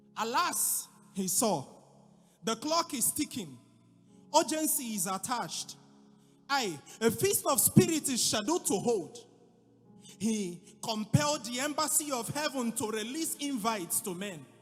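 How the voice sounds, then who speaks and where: With music in the background, a man speaks at a fairly slow pace in an extremely high pitch, with very wide pitch swings and long, frequent pauses. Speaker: preacher / spoken word artist. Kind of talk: dramatic spoken word poetry.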